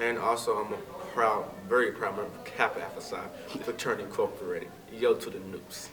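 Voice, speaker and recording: A man with an American accent, very fast speech broken by long, frequent pauses, big swings in loudness, audible room echo and noticeable background noise. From Texas, Fort Worth. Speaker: graduate student. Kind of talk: interview.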